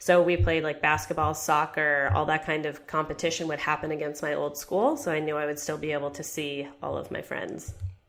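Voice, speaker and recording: With a very deep, low pitch and vocal fry, a woman talks at a fairly quick pace with hardly any pauses and fairly even intonation. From Japan and China (American expat). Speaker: personal finance author. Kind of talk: interview conversation.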